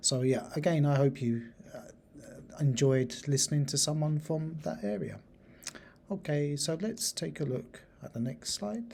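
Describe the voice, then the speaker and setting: A man's somewhat breathy voice, dark and mellow in tone, fairly high in pitch, with lively intonation at a fairly slow pace. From England, Lincolnshire. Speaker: university teacher. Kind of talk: lecture presentation.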